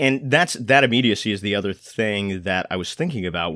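An ordinary speaking voice from a man, fairly low in pitch with ordinary pitch variation. The sound is dry and close with no echo, on a very clean recording with a silent background. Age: 20s. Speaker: arts podcast host and actor. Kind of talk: casual chat. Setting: studio.

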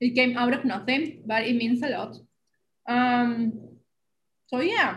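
A woman with an Argentine accent speaks at a very slow pace and a high pitch. Her intonation is fairly even, broken by long, frequent pauses. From Argentina. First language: Spanish. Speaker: podcast co-host. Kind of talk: casual chat.

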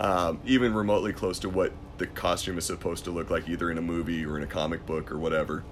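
A man talks fairly quickly in a very deep, low voice, his pitch varying in an ordinary way while music plays behind him. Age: 30s. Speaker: MMA event commentator and war veteran. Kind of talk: casual chat.

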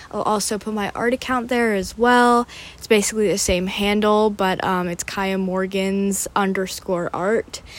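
With a plain, everyday voice, this woman speaks at medium pitch and a moderate pace, using fairly even intonation and hardly any pauses. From Pennsylvania, US. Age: 20s. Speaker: podcast host, college student and florist. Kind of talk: casual solo monologue. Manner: casual, filler-heavy.

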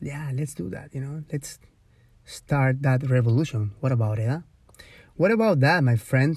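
With a Spanish accent, a man speaks at a fairly high pitch, somewhat breathy, with lively intonation and long, frequent pauses. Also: moderate pace. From Ecuador. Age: 30s. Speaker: podcast host. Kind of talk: casual monologue. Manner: rambling with many fillers.

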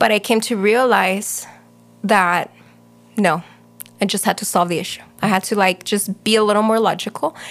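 At a moderate pace, a woman with a medium pitch speaks in fairly even intonation, leaving long, frequent pauses. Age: 30s. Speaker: real estate agent. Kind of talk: casual interview. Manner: sarcastic.

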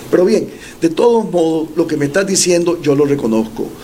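A man's lively intonation at a fairly quick pace, with audible room echo and noticeable background noise. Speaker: presidential pre-candidate and former professor. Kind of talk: interview.

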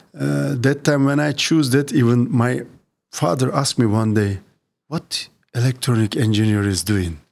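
With a Turkish accent, a man of medium pitch speaks at a moderate pace with lively intonation. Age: 50s. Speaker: municipal IT executive. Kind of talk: interview. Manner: halting.

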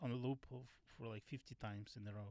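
A moderate pace in a Russian accent, dry and close with no echo. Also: man. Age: 50s. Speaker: stand-up comedian. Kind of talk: casual chat. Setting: in a van. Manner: halting.

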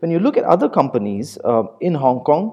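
A man speaks at a fairly quick pace with a fairly high pitch. His pitch swings very widely. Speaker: podcast host. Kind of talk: interview, conversational.

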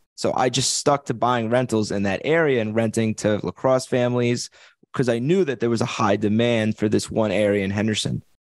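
He speaks with an East Coast accent at a fairly quick pace. This man's voice is medium in pitch with ordinary pitch variation. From Long Island, New York. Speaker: real estate investor and agent. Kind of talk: interview.

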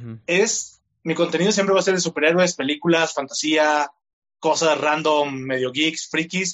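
Using a plain, everyday voice, a man speaks at a fairly high pitch with ordinary pitch variation. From Mexico, Tlaquepaque, Jalisco. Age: 20s. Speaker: content creator. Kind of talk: interview.

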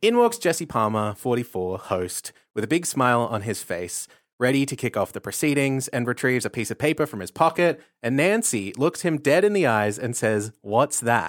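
Lively intonation at a moderate pace, in dry, close sound with no echo and a very clean recording with a silent background. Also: man, medium pitch for a man. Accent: Australian. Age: 30s. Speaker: podcast co-host. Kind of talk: casual chat.

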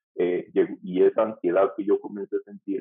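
A man talks at a moderate pace. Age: 40s. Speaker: pastor. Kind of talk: testimony.

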